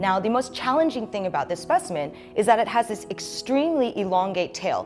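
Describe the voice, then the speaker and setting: A woman talks while clear music sounds behind her. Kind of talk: interview answer. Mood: enthusiastic, animated. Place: office. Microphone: lapel.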